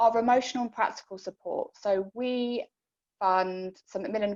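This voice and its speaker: A woman speaks with ordinary pitch variation. The sound is dry and close, with no echo. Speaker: cancer charity support worker. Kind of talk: informational talk to support group. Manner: fast.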